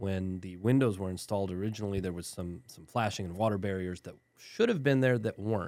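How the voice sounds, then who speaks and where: A man's plain, everyday voice in a fairly low pitch, with an American accent and ordinary pitch variation, on a very clean recording with a silent background. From West Texas (El Paso). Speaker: lawyer. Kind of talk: interview. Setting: studio.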